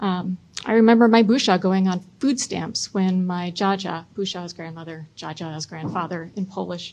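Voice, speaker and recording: The woman's voice is somewhat breathy. Its pitch is medium. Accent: American. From US Midwest (Chicago, Michigan). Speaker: city council president and mayoral candidate. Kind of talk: debate opening statement.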